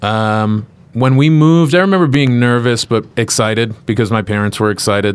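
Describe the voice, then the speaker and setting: Speaking with an American accent in an unremarkable speaking voice, a man keeps a moderate pace at medium pitch with ordinary pitch variation. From Chicago suburbs, Illinois, then Henderson, Nevada from age twelve. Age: 30s. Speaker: stand-up comedian. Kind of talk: casual chat. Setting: studio.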